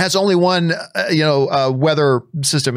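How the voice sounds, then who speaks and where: A man with a Canadian accent talks at a fairly quick pace, his pitch fairly high with ordinary variation. It is an unremarkable speaking voice. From Canada. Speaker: podcast host. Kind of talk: casual chat.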